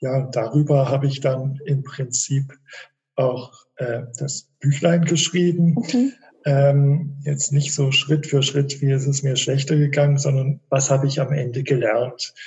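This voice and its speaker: This man's voice sits at a fairly high pitch. He talks at a fairly slow pace with monotone, flat intonation. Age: 50s. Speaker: author and migraine patient, physicist. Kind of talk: interview. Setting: video call.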